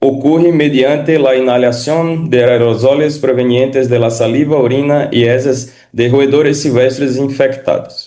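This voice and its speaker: The man's dark, mellow tone comes at a fairly slow pace with fairly even intonation. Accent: Portuguese. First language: Portuguese (speaking Spanish). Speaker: physician. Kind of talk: lecture. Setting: video call. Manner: formal.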